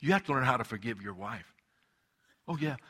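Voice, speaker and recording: At a fairly quick pace, a man speaks in a warm, animated tone that is also bright and sharp. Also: very clean recording, silent background. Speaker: preacher. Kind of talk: sermon to a live congregation, preaching. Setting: church. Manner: animated, emphatic; conversational, warm, rhetorical call-and-response.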